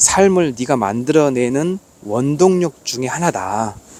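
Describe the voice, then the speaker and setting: Amid noticeable background noise, a man with a fairly high pitch talks in an animated tone with lively intonation. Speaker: barefoot walking vlogger. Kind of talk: casual vlog monologue. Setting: outdoors on a mountain trail.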